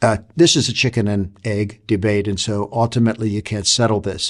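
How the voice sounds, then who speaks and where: A man's fairly low voice at a fairly quick pace, a plain, everyday voice, on a very clean recording with a silent background. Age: 60s. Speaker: leadership author and consultant. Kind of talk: talk to camera on leadership. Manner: reflective, with frequent fillers and restarts.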